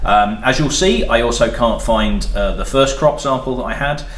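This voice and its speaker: A man's moderately paced speech carries audible room echo, with noticeable background noise behind it. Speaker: spirits reviewer and shop owner. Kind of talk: casual review chat.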